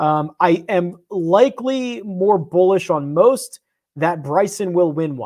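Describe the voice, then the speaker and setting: Against a quiet background, a man speaks at a very slow pace. His pitch is high and his intonation lively. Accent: Philadelphia. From Philadelphia. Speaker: golf betting content host. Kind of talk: casual chat. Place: home room. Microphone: lapel.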